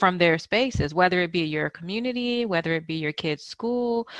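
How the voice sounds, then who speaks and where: A normal speaking voice with lively intonation moves at a moderate pace, its sound dry and close with no echo. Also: woman. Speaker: podcast host. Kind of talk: conversational interview talk.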